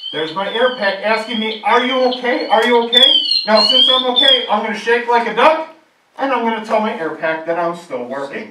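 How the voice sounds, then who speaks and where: In a room with audible echo, a man with an extremely high pitch uses a raised, projected voice and lively intonation at a fairly quick pace. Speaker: firefighter lieutenant. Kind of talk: children's safety presentation. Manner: friendly, simple explanations for kids; talking louder through breathing mask.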